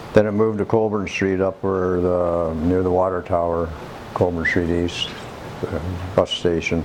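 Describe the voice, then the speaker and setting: This man has a very deep, low voice and talks at a fairly slow pace. Noticeable background noise runs underneath. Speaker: senior sharing local memories. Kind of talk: oral history interview.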